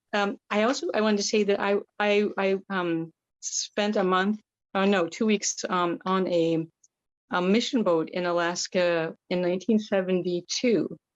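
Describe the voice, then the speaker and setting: Her intonation is fairly even, her pitch medium. The woman has a plain, everyday voice. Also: moderate pace, very even loudness. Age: 60s. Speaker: workshop participant. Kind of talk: casual chat.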